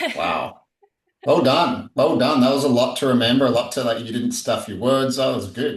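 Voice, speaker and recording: Lively in intonation, a man at medium pitch speaks at a moderate pace. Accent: Australian. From Australia. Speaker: psychedelic integration coach. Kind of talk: podcast interview. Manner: casual.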